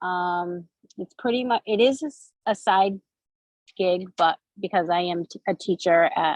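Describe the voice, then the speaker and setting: A woman talks at a fairly slow pace in a medium pitch with ordinary pitch variation. The sound is dry and close, with no echo. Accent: Massachusetts. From Massachusetts. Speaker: direct sales consultant and teacher. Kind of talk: video call group chat. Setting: video call. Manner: halting.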